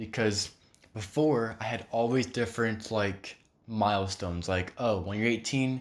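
A man speaks in a plain, everyday voice with ordinary pitch variation. His pitch is medium and his pace moderate. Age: 20s. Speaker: religious podcast host. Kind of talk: solo devotional talk. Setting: recording at home table. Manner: casual, rambling.

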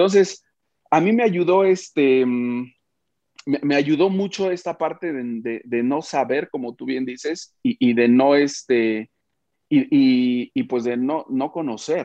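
A man's voice, fairly high in pitch, carries lively intonation while he talks at a very slow pace. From Mexico, Oaxaca. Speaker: media founder and publisher. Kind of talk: interview.

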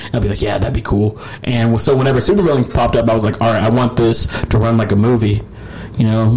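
With noticeable background noise around him, a man delivers his words at a very fast pace. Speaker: guitarist and composer. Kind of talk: casual chat.

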